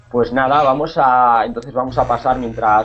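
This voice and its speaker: Music plays in the background as a man talks at a moderate pace. His pitch is medium with ordinary variation. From Spain, Cáceres (Extremadura). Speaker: Spanish teacher. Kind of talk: online language class. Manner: hesitant, with many repetitions.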